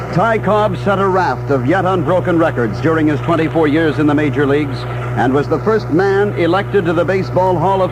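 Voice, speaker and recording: Amid noticeable background noise, a man with a fairly high pitch speaks at a fairly quick pace with lively intonation. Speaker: radio newscaster. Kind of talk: radio news read.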